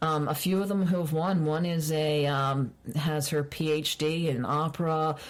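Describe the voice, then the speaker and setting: The speaker talks at a moderate pace with a Baltimore accent. Intonation stays fairly even and loudness is very even. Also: woman, very deep, low pitch for a woman. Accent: Baltimore accent, authentic. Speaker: librarian and former radio personality. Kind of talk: casual interview chat.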